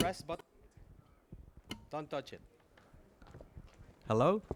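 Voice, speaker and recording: A man's voice on a very clean recording with a silent background. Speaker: conference speaker, chemical engineer. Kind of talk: conference Q&A. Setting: conference talk with audience. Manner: fast.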